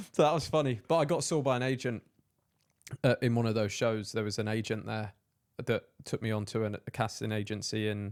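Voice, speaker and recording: On a very clean recording with a silent background, a man with an English accent speaks at a medium pitch and a fairly quick pace, his pitch varying in an ordinary way. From England, Peterborough. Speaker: entrepreneur and content creator. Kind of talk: casual chat.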